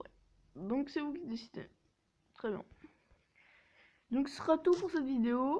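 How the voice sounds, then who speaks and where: With long, frequent pauses and big swings in loudness, a woman talks in a high pitch with a dark, mellow tone. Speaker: mobile gaming YouTuber. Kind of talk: casual gameplay commentary. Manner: hesitant, many filler sounds.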